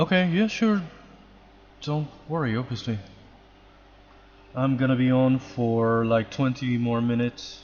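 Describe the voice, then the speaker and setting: The speech moves at a fairly slow pace with ordinary pitch variation and long, frequent pauses. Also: man, medium pitch for a man. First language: not English. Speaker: 3D artist streamer. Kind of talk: casual live stream chat.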